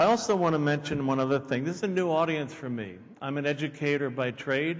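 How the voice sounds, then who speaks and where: Against noticeable background noise and audible room echo, a man with fairly high pitch talks very fast with ordinary pitch variation. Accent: American. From Pennsylvania, near Philadelphia. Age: 60s. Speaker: keynote speaker. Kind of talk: conference talk.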